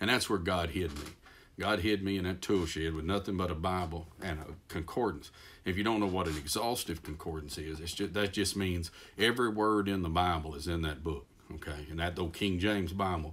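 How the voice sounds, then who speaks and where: A man with a Texas accent and a very deep, low pitch, at a fairly quick pace with ordinary pitch variation. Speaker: preacher. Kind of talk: devotional talk. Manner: halting, self-correcting.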